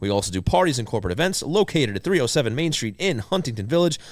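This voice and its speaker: Over a very clean recording with a silent background, a man speaks at a very fast pace. His pitch swings very widely. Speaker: podcast host. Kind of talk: casual chat. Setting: studio.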